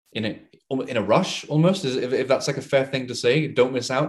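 A man speaks with an English accent. His pace is fairly quick, with ordinary pitch variation. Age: 20s. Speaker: crypto commentator. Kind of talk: casual chat.

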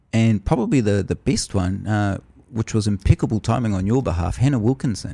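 A man with a New Zealand accent, dark and mellow in tone, with ordinary pitch variation, in a dry, close recording with no echo, very clean against a silent background. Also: fairly low pitch for a man, fairly quick pace. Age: 30s. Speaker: podcast host. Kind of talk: casual chat.

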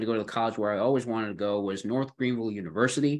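A man with a Western New York accent speaks at a medium pitch. The background is quiet. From Buffalo, New York. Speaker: podcast host. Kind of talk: casual chat. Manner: hesitant, filler-heavy.

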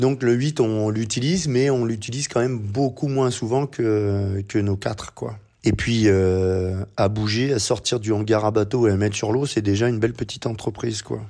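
Fairly low in pitch, a man speaks with a dark, mellow tone and fairly even intonation. He barely pauses. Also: moderate pace. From northern France, Boulogne-sur-Mer. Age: 50s. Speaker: rowing coach. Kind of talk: interview. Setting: remote interview.

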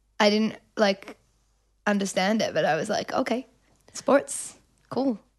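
A woman with an Australian accent talks fairly slowly at a fairly high pitch, her pitch varying in an ordinary way. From Australia, Melbourne. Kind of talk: casual chat. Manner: animated.

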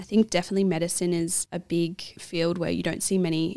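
A woman with an Australian accent and a fairly low pitch talks at a fairly quick pace with monotone, flat intonation. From Australia, New South Wales. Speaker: medical student. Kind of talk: casual chat.

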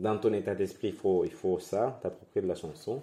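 A man with a Spanish accent, a fairly low pitch and a dark, mellow tone. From Venezuela (Guatire, near Caracas). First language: Spanish (speaking French). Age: 20s. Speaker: drag queen. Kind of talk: casual interview.

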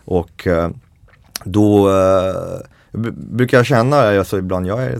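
A man talks with a fairly low pitch. His pitch variation is ordinary. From France, Paris. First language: French (speaking Swedish). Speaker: chef and baker. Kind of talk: casual interview. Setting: studio. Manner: animated.

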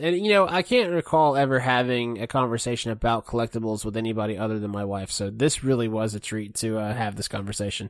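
At a very fast pace with hardly any pauses, a man of medium pitch speaks with ordinary pitch variation. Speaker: co-host gaming buddy. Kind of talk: casual chat. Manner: hesitant, filler words.

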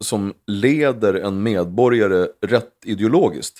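This man's voice sits at a medium pitch with ordinary pitch variation, an unremarkable speaking voice captured in a very clean recording against a silent background. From Sweden, Uppsala area. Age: 40s. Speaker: former member of parliament. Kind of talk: casual chat.

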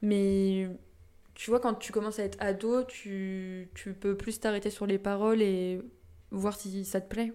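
Speaking very slowly, a woman with a medium pitch delivers flat, monotone intonation in a dark, mellow tone. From Brittany, France (Saint-Brieuc, Côtes d'Armor). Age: 20s. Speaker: podcast guest, music fan. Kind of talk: casual chat.

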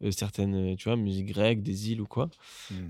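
A man with a normal speaking voice and fairly low pitch uses fairly even intonation on a very clean recording with a silent background. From southern France, Marseille. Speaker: musician. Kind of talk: casual chat.

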